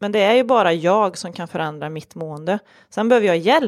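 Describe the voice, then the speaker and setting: A woman talks in an ordinary speaking voice at a moderate pace with lively intonation. The recording is very clean, with a silent background. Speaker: suicide prevention advocate and lecturer. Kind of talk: interview, personal testimony.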